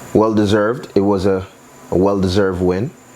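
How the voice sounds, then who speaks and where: With an American accent, a man talks while noticeable background noise runs underneath. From New York, Brooklyn. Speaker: cooking channel host. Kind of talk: cooking tutorial, casual chat. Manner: casual, chatty.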